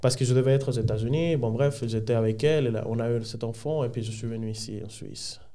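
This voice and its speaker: A man with a Spanish accent talks at a very fast pace with hardly any pauses. His dark, mellow tone sits at medium pitch with fairly even intonation. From Dominican Republic. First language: Spanish (speaking French). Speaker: podcast guest. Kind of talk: life story testimony. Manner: halting.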